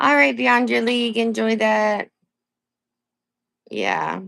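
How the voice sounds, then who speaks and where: Against a quiet background, a voice with an American accent moves at a fairly slow pace through very wide pitch swings. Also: woman. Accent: Maine accent, consciously reduced. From coastal Maine, US. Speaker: live streamer. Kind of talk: casual live stream chat. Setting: live stream. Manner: casual, chatty.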